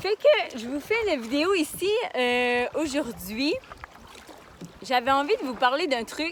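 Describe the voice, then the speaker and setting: A high-pitched woman with very wide pitch swings, very slow and with long, frequent pauses, over noticeable background noise. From Quebec, Magdalen Islands. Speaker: life coach and vlogger. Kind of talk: casual vlog. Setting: outdoors in a kayak on the water. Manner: casual, animated.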